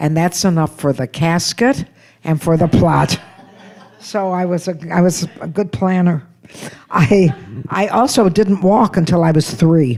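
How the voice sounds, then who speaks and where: With an American accent, a woman speaks at a fairly slow pace and a fairly low pitch, using lively intonation and long, frequent pauses against noticeable background noise. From United States. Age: 80s+. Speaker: comedian. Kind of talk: stand-up.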